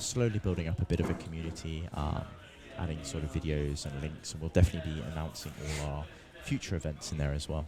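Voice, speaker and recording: A soft-spoken man with a very deep, low voice is heard against noticeable background noise. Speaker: tournament commentator. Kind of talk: live commentary. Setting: tournament venue near players.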